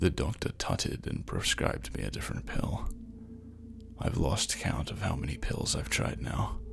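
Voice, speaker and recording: The soft-spoken voice moves at a moderate pace with lively intonation amid noticeable background noise. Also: man, very deep, low pitch for a man. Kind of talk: horror story reading; bedtime story.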